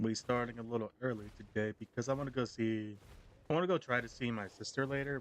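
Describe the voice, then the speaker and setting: A man speaks at a medium pitch and a moderate pace. His pitch varies in an ordinary way. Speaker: gaming streamer. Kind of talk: live stream gameplay commentary. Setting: live stream. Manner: soft-spoken.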